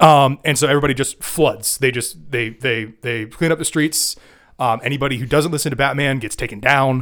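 In a very clean recording with a silent background, a man talks at a fairly quick pace. He has a normal speaking voice, a medium pitch and fairly even intonation. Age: 20s. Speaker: podcast host. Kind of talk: casual chat.

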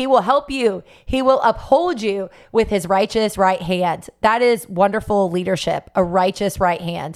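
A woman with a medium pitch and ordinary pitch variation speaks at a fairly slow pace in an animated, enthusiastic tone, in a very clean recording with a silent background. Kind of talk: sermon-like devotional talk, warm and encouraging, with scripture quotes. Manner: animated, enthusiastic, earnest; repetitive, reassuring, preacher-like cadence.

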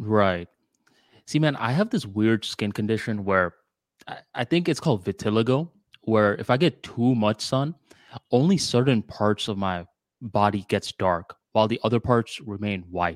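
With a slight Bengali accent, the speaker uses lively intonation in a dry, close sound that has no echo. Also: man, fairly low pitch for a man, moderate pace. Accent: American English with slight Bengali tinge. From Bangladesh, raised in Florida, US. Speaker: podcast co-host. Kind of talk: casual chat. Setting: video call.

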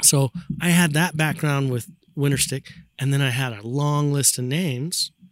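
A man with an American accent and a plain, everyday voice speaks at a moderate pace, fairly high in pitch, with fairly even intonation. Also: very clean recording, silent background. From Utah. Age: 50s. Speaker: snowboarder and brand ambassador. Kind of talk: casual chat. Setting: outdoors on a backyard patio.

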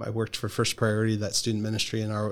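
In a very clean recording with a silent background, a man with an American accent speaks at a fairly low pitch. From Philadelphia area, Pennsylvania. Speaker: pastor. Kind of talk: interview conversation.

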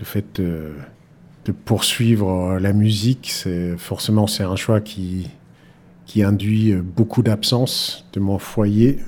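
The voice moves at a very slow pace, dark and mellow in tone, in a Danish accent. The recording is very clean, with a silent background. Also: man. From Denmark, Aarhus. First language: Danish (speaking French). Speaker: pianist. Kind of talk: interview. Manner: halting, many repeated words.

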